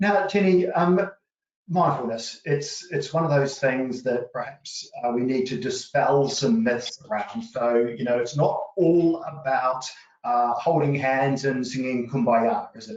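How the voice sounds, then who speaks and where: Speaking with a New Zealand accent, a man uses lively intonation at a fairly high pitch. His pace is fairly slow. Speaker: company managing director, webinar host. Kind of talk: interview.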